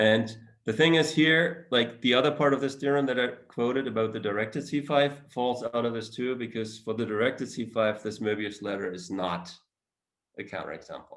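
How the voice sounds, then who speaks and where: Speaking in an unremarkable speaking voice, a man keeps a medium pitch, varies it in an ordinary way, and holds a moderate speed. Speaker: mathematics researcher. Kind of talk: academic seminar talk with Q&A. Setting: virtual talk.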